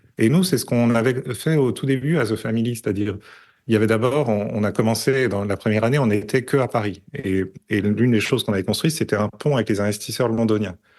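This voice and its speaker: Over a quiet background, a man talks very fast at medium pitch with ordinary pitch variation. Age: 40s. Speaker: tech strategist and investor. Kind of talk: podcast interview. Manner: hesitant, many fillers.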